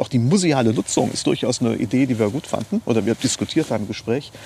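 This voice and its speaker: Noticeable background noise surrounds a man speaking at a medium pitch. He talks at a very fast pace. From Germany, Neuwied (Rhineland). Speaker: lawyer. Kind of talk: interview. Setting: outdoors in a park.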